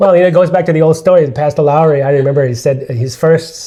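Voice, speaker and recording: Over noticeable background noise, a man with an American accent speaks with fairly even intonation. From USA. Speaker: interviewee sharing family history. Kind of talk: casual interview. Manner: halting.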